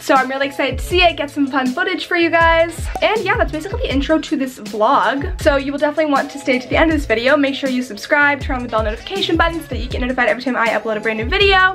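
Clear music plays in the background as a woman speaks in a high pitch. Her pace is very fast, with hardly any pauses. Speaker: vlogger. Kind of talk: casual vlog chat. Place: home room. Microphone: phone near.

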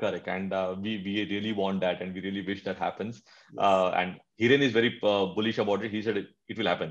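Speaking at a very fast pace, a man keeps a fairly low pitch and fairly even intonation. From India. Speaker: sports podcast host. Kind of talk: interview. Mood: warm, friendly, smiling. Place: home room. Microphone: video call.

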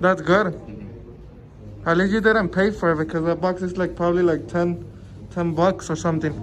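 Light background noise runs under speech that moves at a moderate speed. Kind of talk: casual small talk. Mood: friendly, relaxed. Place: hall. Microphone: phone near.

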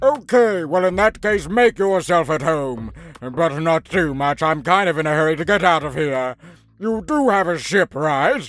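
A put-on character voice from a man, high-pitched and moderately paced. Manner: flippant, excitable, carefree.

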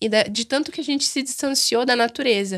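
On a very clean recording with a silent background, a woman talks at a very fast pace. Her intonation is lively. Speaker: podcast co-host. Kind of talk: casual chat.

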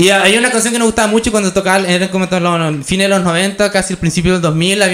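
This man talks at a very fast pace. There is ordinary variation in his pitch. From Chile. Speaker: stand-up comedian. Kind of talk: live stand-up comedy set. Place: stage. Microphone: handheld.

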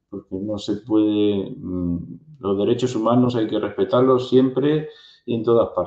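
A man talks at a fairly slow pace in a dark, mellow tone. The background is quiet, though there is audible room echo. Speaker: interview host. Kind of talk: interview question. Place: home room. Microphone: earbuds.

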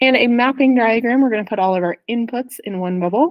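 With a quiet background, a woman's voice moves with ordinary pitch variation. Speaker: math teacher. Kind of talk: tutorial. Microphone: webcam.

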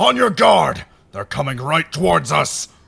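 A man shouts in a cartoonish character voice, fairly high-pitched with big pitch swings, vocal fry and a slightly husky edge, at a fairly slow pace.

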